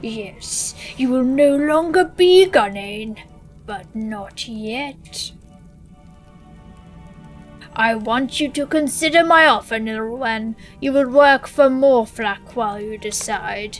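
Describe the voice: Using a put-on character voice, a woman speaks very slowly at a high pitch with lively intonation, big swings in loudness and long, frequent pauses, as faint music plays in the background.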